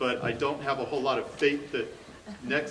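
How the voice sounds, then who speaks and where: A man speaks with music playing behind him. The room gives his voice an audible echo. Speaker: audience member, parent. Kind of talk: audience question at a public forum. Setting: community forum with live audience in a high school.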